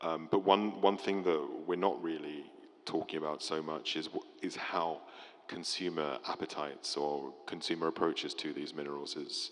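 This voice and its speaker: At a moderate pace, a man speaks with very deep, low pitch and fairly even intonation. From Europe. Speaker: mining industry panelist. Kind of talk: panel discussion. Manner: halting, many fillers and restarts.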